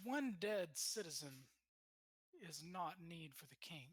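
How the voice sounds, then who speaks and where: A man's put-on character voice, high-pitched, fairly slow and with lively intonation. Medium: actual play. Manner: curt, officious.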